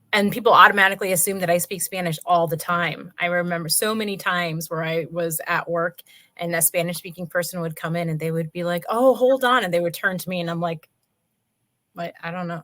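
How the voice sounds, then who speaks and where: A woman speaks at a fairly quick pace in a fairly low pitch with fairly even intonation. Hers is an unremarkable speaking voice. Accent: American. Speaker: panel guest. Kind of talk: casual chat.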